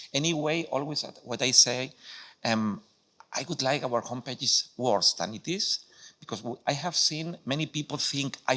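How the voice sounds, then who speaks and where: A man with a Spanish accent at a medium pitch, bright and sharp in tone, with ordinary pitch variation and a moderate pace. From Spain. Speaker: welcome center adviser. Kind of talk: conference presentation. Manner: halting, many fillers and restarts.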